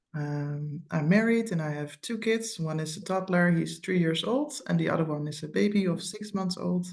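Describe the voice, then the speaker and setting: Lively intonation at a moderate pace, hardly any pauses, with noticeable background noise. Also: woman, fairly low pitch for a woman. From Netherlands. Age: 30s. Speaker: program graduate, mother of two. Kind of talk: interview testimony. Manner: hesitant, many fillers.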